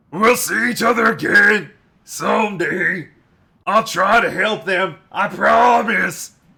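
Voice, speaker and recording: Putting on a character voice, a man speaks at a fairly slow pace in a raspy, high-pitched tone. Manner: warm, tearful, parting.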